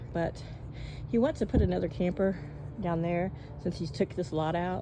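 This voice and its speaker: Leaving long, frequent pauses, a woman speaks in a dark, mellow tone with vocal fry and ordinary pitch variation. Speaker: vlogger. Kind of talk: casual monologue. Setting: outdoors. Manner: fast.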